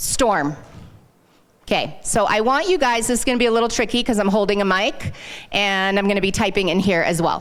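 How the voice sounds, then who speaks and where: Audible room echo surrounds a woman speaking at medium pitch in an animated tone. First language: not English. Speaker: sales consultant. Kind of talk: live workshop presentation. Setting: stage with audience, handheld mic.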